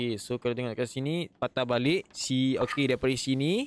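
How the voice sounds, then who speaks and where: A man's voice with ordinary pitch variation comes through with a dry sound, no echo, and light background noise. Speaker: game streamer. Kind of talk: gaming commentary. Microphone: studio mic.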